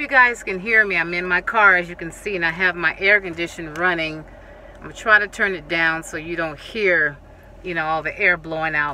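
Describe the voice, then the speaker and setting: A woman talks at a fairly low pitch with fairly even intonation. The sound is dry with no echo, with light background noise. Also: moderate pace. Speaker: home decor vlogger. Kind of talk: casual vlog chat. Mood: cheerful, grateful. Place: car. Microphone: phone near.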